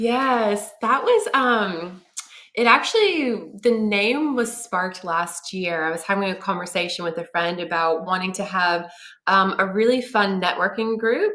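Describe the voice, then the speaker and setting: A woman's bright, sharp voice at a medium pitch, with an American accent, a fairly slow pace, ordinary pitch variation and audible room echo. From United States. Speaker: marketing consultant and business founder. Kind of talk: interview.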